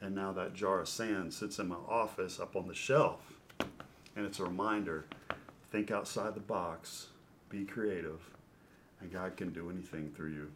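Noticeable background noise and audible room echo surround the speech. It moves at a moderate pace with ordinary pitch variation and long, frequent pauses. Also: man, fairly low pitch for a man. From Louisville, Kentucky. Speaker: former baseball pitcher, sports broadcaster. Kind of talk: interview storytelling.

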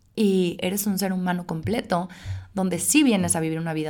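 An ordinary speaking voice from a woman, fairly even in intonation and moderate in pace, on a very clean recording with a silent background. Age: 30s. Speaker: podcast host. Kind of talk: solo podcast monologue. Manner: casual with filler words.

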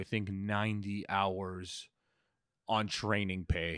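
The voice has a bright, sharp tone and a Toronto accent. The sound is dry and close, with no echo. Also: man. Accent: Canadian (Toronto). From Canada, Scarborough (Toronto). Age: 30s. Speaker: comedian. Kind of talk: casual monologue. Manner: halting.

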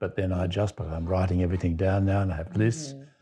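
With an Australian accent, a man speaks in a dark, mellow tone with ordinary pitch variation over a quiet background. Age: 80s. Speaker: psychotherapist and retired doctor. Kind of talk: casual group conversation.

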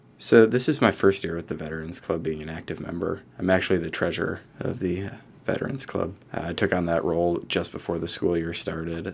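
A man talks at a fairly quick pace. His very deep, low voice has ordinary pitch variation. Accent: American. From Rochester, New York, US. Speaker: student and Marine veteran. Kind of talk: casual interview conversation.

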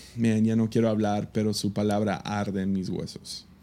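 This very clean recording has a silent background. The voice has a dark, mellow tone and moves at a fairly slow pace. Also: man. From Mexico. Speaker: podcast host and pastor. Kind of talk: casual chat.

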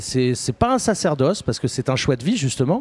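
A man's medium-pitched voice in a Parisian accent, with a dry, close sound and no echo. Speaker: film director. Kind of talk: radio interview. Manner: halting.

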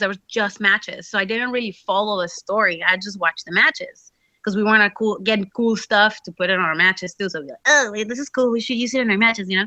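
Speaking at a fairly quick pace with a Mexican accent, a woman uses a bright, sharp tone and ordinary pitch variation. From Mexico. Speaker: professional wrestler. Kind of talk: casual interview. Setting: video call. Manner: casual, filler-heavy speech.

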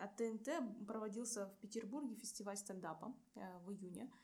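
Somewhat breathy, a woman's medium-pitched voice moves with ordinary pitch variation. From Irkutsk, Siberia, Russia. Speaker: civil engineer and stand-up comedian. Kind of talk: casual interview.

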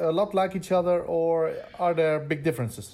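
A man with a Dutch accent, fairly high pitch, a dark, mellow tone, fairly even intonation and a moderate pace. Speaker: podcast host, fundraising consultant. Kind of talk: podcast narration; interview.

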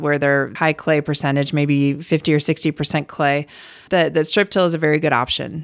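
On a very clean recording with a silent background, a woman with a very deep, low pitch speaks at a fairly quick pace in an American accent. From US Midwest, Cleveland, Ohio. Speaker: university soil health specialist. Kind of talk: interview.

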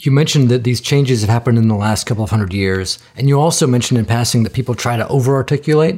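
On a very clean recording with a silent background, a man talks very fast with hardly any pauses, in a somewhat breathy, medium-pitched voice with ordinary pitch variation. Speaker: podcast host. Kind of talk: interview conversation.

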